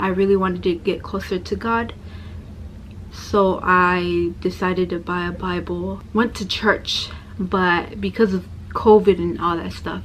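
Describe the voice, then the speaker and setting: The speaker is a woman in an American accent. She talks at a fairly slow pace. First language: Spanish heritage; Spanish called second language. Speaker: religious convert sharing story. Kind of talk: personal testimony. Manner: quieter, lowered voice.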